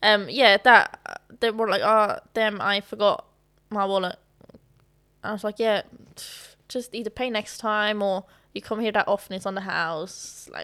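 Speaking at a fairly slow pace with long, frequent pauses, a woman with a fairly high pitch and a bright, sharp tone keeps a fairly even intonation on a very clean recording with a silent background. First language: not English. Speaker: actress. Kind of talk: casual chat. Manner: laughs often.

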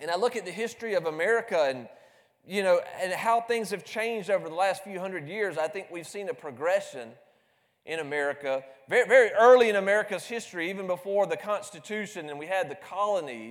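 With a Southern US accent, a man talks in a high pitch, his intonation lively and his loudness swinging widely. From US South, South Carolina. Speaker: preacher. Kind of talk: sermon. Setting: church. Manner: repeats words, stammers.

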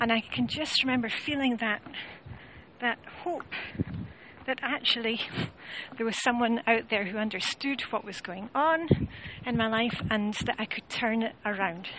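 A woman speaks in a Scottish accent at a moderate pace. Her voice is fairly high with ordinary pitch variation, broken by long, frequent pauses. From Scotland. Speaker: home organising coach. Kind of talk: casual vlog monologue. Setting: outdoors, walking along a road.

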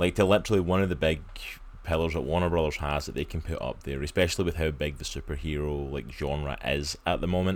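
Talking at a very fast pace, a man has a very deep, low pitch and fairly even intonation. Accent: Scottish. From Scotland. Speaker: comics podcast host. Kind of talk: casual chat.

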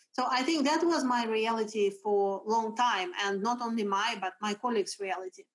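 With hardly any pauses, a woman speaks at a fairly high pitch in a Russian accent. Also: ordinary pitch variation, moderate pace. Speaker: HR executive. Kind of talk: interview. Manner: energetic.

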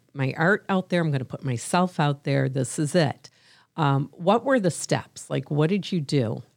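A woman with a very deep, low pitch and ordinary pitch variation, at a moderate pace. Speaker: podcast host. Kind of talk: casual chat.

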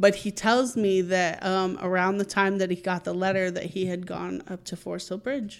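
A woman with a plain, everyday voice at a moderate pace, fairly even in intonation, with hardly any pauses, on a very clean recording over a silent background. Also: medium pitch for a woman. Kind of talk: casual chat.

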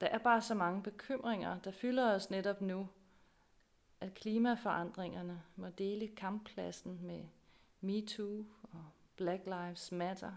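Moving at a very slow pace, a woman with a medium pitch keeps her intonation fairly even while her loudness swings widely. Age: 40s. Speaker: pastor. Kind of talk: sermon.

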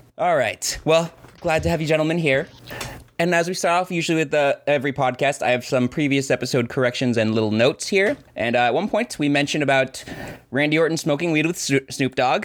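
A man with an American accent and a fairly high pitch talks at a fairly quick pace, with ordinary pitch variation and very even loudness, over noticeable background noise. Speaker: podcast co-host. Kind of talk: casual chat.

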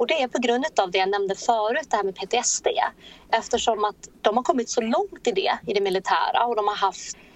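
A normal speaking voice with lively intonation, at a moderate pace. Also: woman. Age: 30s. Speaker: entrepreneur. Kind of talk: interview.

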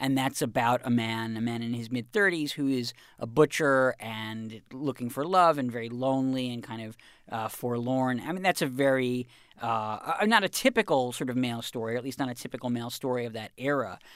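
Ordinary pitch variation and a fairly quick pace in an ordinary speaking voice. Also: man, medium pitch for a man, very clean recording, silent background. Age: 30s. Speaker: culture reporter and author. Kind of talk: casual interview.

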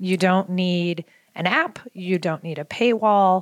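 An unremarkable speaking voice with an American accent talks at a fairly slow pace and with fairly even intonation, the sound dry and close with no echo. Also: woman. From Baltimore, US. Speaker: women's soccer club co-founder. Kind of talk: casual interview chat. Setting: studio.

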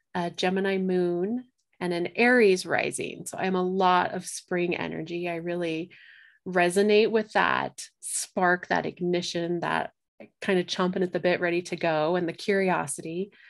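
In a plain, everyday voice with an American accent, the speaker goes at a fairly slow pace with fairly even intonation on a very clean recording with a silent background. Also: woman. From Colorado. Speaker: astrologer and medium. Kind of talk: casual chat.

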